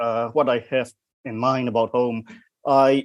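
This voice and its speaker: A man with a Burmese accent at a medium pitch and fairly slow pace, on a very clean recording with a silent background. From Myanmar. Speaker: poet. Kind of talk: panel discussion.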